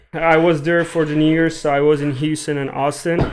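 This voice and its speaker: With an Iranian accent, a man speaks at a fairly high pitch and moderate pace with fairly even intonation over noticeable background noise. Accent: Iranian (Persian). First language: Persian (Farsi). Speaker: podcast co-host. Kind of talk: casual chat.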